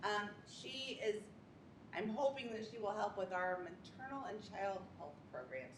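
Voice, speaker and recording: At a moderate pace and medium pitch, a woman speaks with lively intonation and long, frequent pauses, amid noticeable background noise and audible room echo. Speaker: nursing supervisor. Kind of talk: staff introduction at public meeting. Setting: meeting room with audience. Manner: loud.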